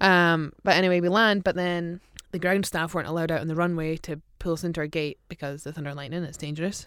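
In an Aberdeen accent, a woman with a fairly low pitch talks at a very fast pace with fairly even intonation, recorded very cleanly against a silent background. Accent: Aberdeen Scottish. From Scotland, Aberdeen. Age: 30s. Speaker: professional footballer. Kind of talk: casual chat. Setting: studio.

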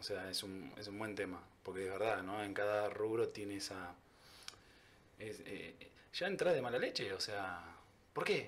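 A man with a Rioplatense accent speaks at a moderate pace, with audible room echo. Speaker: podcast host. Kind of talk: casual interview.

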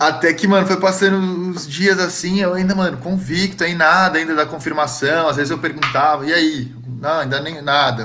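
With hardly any pauses, a man speaks at a moderate pace and fairly high pitch with ordinary pitch variation, amid audible room echo and noticeable background noise. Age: 20s. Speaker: musician. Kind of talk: casual chat. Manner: casual slangy.

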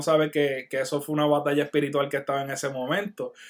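This man has a normal speaking voice and talks at a fairly quick pace. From Puerto Rico, Barranquitas. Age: 30s. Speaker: graphic artist and clothing brand owner. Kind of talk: casual interview chat. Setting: online video call.

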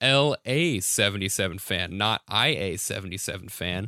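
His pitch makes very wide swings in a bright, sharp tone, and the man's recording is very clean with a silent background. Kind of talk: bantering podcast comedy chat, riffing on bits with a co-host. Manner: quick-witted, playful, jokey, laughing.

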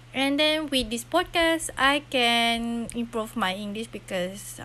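With a Malaysian accent, a woman speaks at a fairly high pitch with lively intonation. Her pace is very slow. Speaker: university student podcaster. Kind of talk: casual solo podcast monologue. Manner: halting, many filler sounds.

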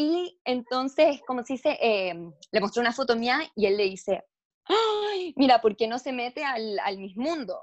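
A woman speaks at a fairly slow pace. Her high voice swings very widely in pitch. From Chile, then moved to the US. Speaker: beauty pageant contestant. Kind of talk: casual interview.

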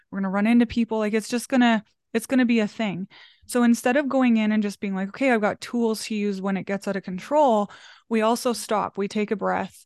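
A woman in a normal speaking voice, fairly high pitch, fairly even intonation, fairly quick pace, dry and close sound with no echo, quiet background. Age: 30s. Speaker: small business coach. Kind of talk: casual chat.

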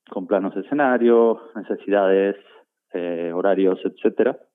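A man speaks at a fairly slow pace with an Argentine accent, his pitch rising and falling in an ordinary way. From Argentina, Buenos Aires. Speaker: concert production manager. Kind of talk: interview. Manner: halting.

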